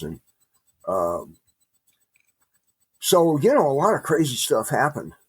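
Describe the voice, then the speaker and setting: Recorded dry and close with no echo, a man speaks with a Midwestern accent at a fairly slow pace. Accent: American Midwestern. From US Midwest. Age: 70s. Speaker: author. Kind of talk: interview. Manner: halting.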